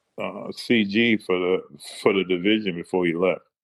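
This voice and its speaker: Ordinary pitch variation runs through a man's speech at a fairly slow pace. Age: 60s. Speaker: retired Marine sergeant major. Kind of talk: casual interview chat. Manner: halting, repeats words.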